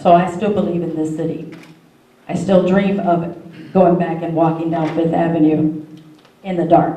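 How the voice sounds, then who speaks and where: A woman with an American accent at a moderate pace, monotone and flat, with audible room echo and noticeable background noise. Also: fairly low pitch for a woman. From northwest Indiana. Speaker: court interpreter and community activist. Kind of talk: testimony. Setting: community forum with audience. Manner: loud.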